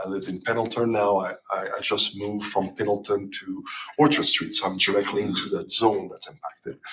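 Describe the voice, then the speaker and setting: Against noticeable background noise, a man talks at a fairly quick pace with a fairly low pitch. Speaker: resident speaking at public hearing. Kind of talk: public comment at board hearing.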